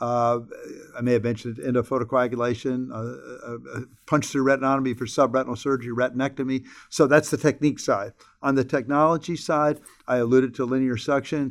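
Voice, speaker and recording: Over a very clean recording with a silent background, a man at medium pitch speaks fairly quickly in a monotone, flat intonation. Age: 70s. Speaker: retina surgeon. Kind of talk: interview. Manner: repetitive stammer on word starts.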